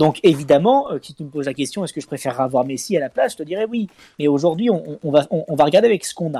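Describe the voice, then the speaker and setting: At a very fast pace, a man with a fairly high pitch and a dark, mellow tone speaks with lively intonation and big swings in loudness. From Lyon, France. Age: 30s. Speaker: reality TV contestant and football fan. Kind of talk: casual football talk.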